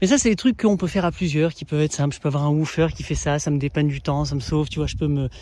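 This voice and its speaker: Here a man talks at a very fast pace. His fairly high voice is somewhat breathy. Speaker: permaculture gardener and video creator. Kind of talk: casual garden vlog talk. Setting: outdoors in garden. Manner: animated.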